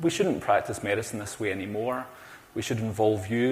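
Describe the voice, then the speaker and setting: In a room with audible echo, a man with a Glaswegian accent talks at a fairly quick pace and a fairly low pitch. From Scotland, Glasgow. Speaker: cardiac pharmacist. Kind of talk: conference talk. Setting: stage with audience. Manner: animated.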